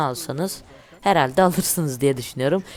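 Music plays in the background. A man talks at a fairly quick pace with ordinary pitch variation. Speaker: gaming YouTuber. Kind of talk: gameplay commentary.

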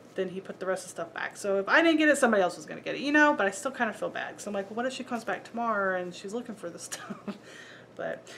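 Over light background noise, a woman talks very fast with lively intonation and big swings in loudness. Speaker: reseller showing a thrift haul. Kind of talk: casual vlog chat. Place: home room.

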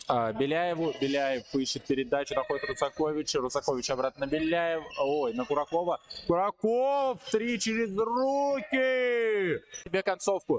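Speaking in a dry, close sound with no echo, a man with a high pitch uses an animated tone, very wide pitch swings and very even loudness at a fairly slow pace. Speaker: sports commentator. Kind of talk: live basketball commentary over video highlights. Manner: animated, excitable, with frequent 'ой-ой-ой' exclamations.

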